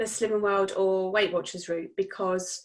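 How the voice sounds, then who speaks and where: A woman with an English accent talks at a moderate pace. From southern England. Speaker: coaching client. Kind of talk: casual chat.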